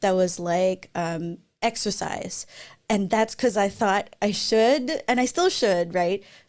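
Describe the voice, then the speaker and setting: A woman with a Filipino accent speaks at a moderate pace. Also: very clean recording, silent background. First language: Tagalog. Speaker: software developer advocate and YouTuber. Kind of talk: conference Q&A.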